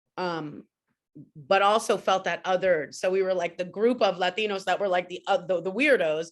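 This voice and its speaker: A woman with a New York accent talks at a medium pitch. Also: quiet background. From New York City. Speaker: panelist. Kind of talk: panel discussion.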